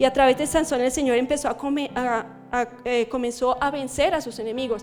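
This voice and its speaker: With music in the background, a woman with a high pitch speaks at a moderate pace with fairly even intonation. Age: 40s. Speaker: preacher. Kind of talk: sermon. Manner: halting.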